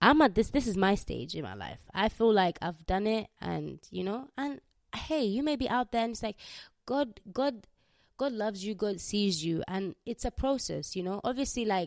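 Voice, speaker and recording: This woman has a fairly high pitch and lively intonation at a moderate pace. The recording is very clean, with a silent background and a dry, close sound with no echo. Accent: Ugandan. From Uganda. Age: 20s. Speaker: podcast host. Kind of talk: casual solo podcast monologue, testimony. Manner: casual, chatty.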